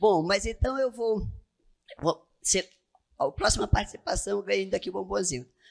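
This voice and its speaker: With vocal fry, a woman speaks at a medium pitch with very wide pitch swings. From Amazonas, Brazil. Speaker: tax auditor. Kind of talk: lecture.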